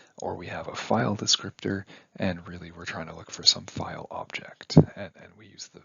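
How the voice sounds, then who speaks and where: A man whispers. His pace is fairly quick. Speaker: university instructor. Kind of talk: lecture. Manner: whispering.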